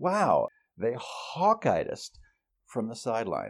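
Very clean recording and silent background for a man's American accent. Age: 60s. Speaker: journalism professor. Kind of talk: interview.

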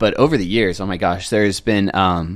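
At a fairly quick pace, a man talks with a very deep, low pitch. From US West Coast, San Diego (North County). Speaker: magician. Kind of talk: casual chat.

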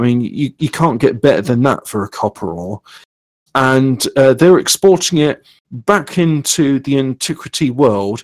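A man with a British accent at a medium pitch, fairly slow, with lively intonation and a dry, close sound with no echo. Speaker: podcast host. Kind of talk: casual chat. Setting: live stream, online call.

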